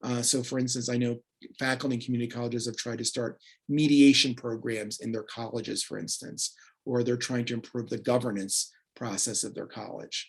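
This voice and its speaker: The speaker is a man with a plain, everyday voice. His pitch is medium, his intonation fairly even, and his pace fairly quick. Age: 60s. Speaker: peacebuilding consultant and career coach. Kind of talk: presentation.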